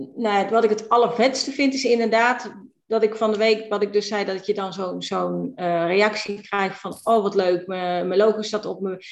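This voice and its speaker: A woman with an ordinary speaking voice talks at a moderate pace and medium pitch, her intonation fairly even and with hardly any pauses. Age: 50s. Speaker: virtual assistant, entrepreneur. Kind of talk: casual interview.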